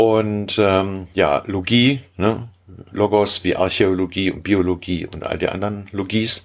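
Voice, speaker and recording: At a very slow pace, a man speaks with fairly low pitch and fairly even intonation. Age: 50s. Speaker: caver. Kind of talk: casual chat.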